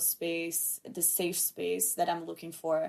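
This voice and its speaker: A woman with a Portuguese accent speaks at a fairly slow pace. Her pitch is fairly low. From Brazil. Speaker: podcast host, film student. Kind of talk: solo podcast monologue. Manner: casual, chatty.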